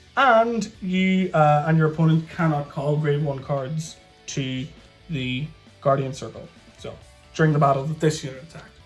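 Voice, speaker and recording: Music plays in the background. A man with a fairly high pitch speaks at a moderate pace with ordinary pitch variation. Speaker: card game deck reviewer. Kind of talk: casual talk to camera.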